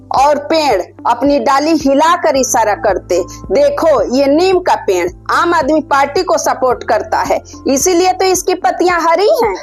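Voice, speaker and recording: A woman speaks at a high pitch with very wide pitch swings and very even loudness. Music plays in the background. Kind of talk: comedic monologue to camera. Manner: playful, upbeat.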